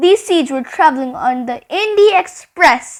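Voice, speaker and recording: Putting on a character voice, a woman speaks at a moderate pace in an extremely high pitch. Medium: read story. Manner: warm, encouraging.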